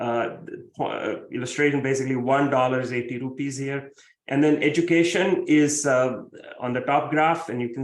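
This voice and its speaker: There is audible room echo around a man's medium-pitched voice. He keeps a moderate pace with fairly even intonation. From India, Mumbai. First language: Marathi. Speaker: professor. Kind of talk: keynote lecture.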